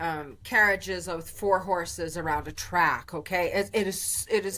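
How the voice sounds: A woman at medium pitch, fairly bright in tone, with a fairly slow pace and fairly even intonation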